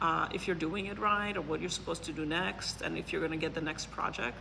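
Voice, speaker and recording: Over audible room echo, a woman with a fairly low pitch speaks in a bright, sharp tone marked by vocal fry. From Poland. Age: 40s. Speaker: neuroscientist and business consultant. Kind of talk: interview. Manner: hesitant, many fillers.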